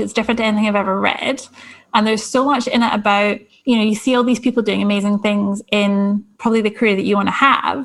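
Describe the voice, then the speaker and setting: In a Scottish accent, a woman with a fairly high voice speaks very fast, with very even loudness and fairly even intonation, on a very clean recording with a silent background. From Scotland. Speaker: career coach. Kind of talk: interview.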